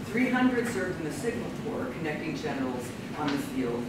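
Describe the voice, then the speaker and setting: Loud background noise and audible room echo surround this recording. A woman speaks at a moderate speed. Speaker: panel chair introducing papers. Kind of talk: conference introduction read from notes. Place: classroom. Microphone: camera far.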